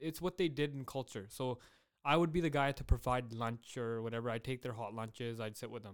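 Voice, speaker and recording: The pace of this man's speech is fairly quick. His pitch is medium and varies in an ordinary way. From Surrey, British Columbia, Canada. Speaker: podcast co-host. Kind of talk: casual chat.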